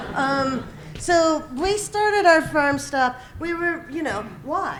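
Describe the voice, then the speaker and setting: A woman with an American accent speaks very slowly at an extremely high pitch with ordinary variation, amid noticeable background noise and audible room echo. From Michigan. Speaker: farm stop organizer. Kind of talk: conference presentation.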